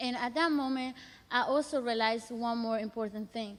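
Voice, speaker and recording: In a Spanish accent, a woman talks at a fairly high pitch. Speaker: college student, youth program participant. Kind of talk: personal storytelling testimony. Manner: halting.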